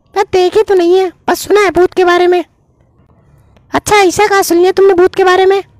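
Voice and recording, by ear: A cartoonish character voice speaks at a moderate pace while faint music plays in the background.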